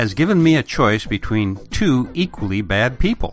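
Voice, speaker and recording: Music plays in the background as a man with an American accent speaks with very wide pitch swings. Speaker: podcast host. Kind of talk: podcast monologue.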